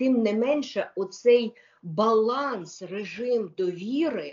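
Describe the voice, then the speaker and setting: A woman's voice with lively intonation over a quiet background. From Ukraine. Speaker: lawyer. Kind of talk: interview. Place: home room. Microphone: video call.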